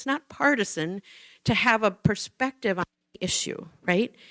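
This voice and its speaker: A woman with an Upper Midwest accent talks at a fairly slow pace, her pitch fairly high and her intonation lively. The sound is dry and close, with no echo. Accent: Upper Midwest American. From Minnesota, US Midwest. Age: 60s. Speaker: nonprofit director. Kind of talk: public talk. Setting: church forum with audience. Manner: conversational.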